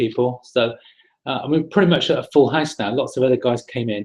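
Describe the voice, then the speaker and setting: With lively intonation and a somewhat breathy voice, a man speaks at a fairly quick pace. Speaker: property investment trainer hosting a webinar. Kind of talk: webinar presentation. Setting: online webinar broadcast. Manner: fast; casual, hesitant with repeated words.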